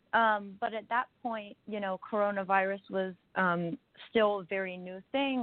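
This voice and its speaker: A woman with a plain, everyday voice speaks at a medium pitch and a moderate pace, with fairly even intonation. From US Midwest. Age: 20s. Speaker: singer-songwriter. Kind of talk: casual interview. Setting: radio interview.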